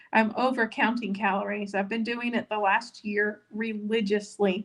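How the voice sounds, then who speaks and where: Somewhat breathy and fairly high-pitched, a woman talks at a moderate pace in a monotone, flat intonation. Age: 50s. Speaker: weight-loss vlogger. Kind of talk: live stream chat reading viewer comments. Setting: live stream. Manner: casual, many filler words.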